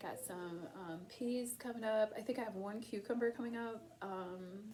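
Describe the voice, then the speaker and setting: Amid noticeable background noise and audible room echo, a woman mumbles at a moderate pace with ordinary pitch variation. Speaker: tarot reader. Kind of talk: tarot reading monologue. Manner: mumbling; casual, hesitant.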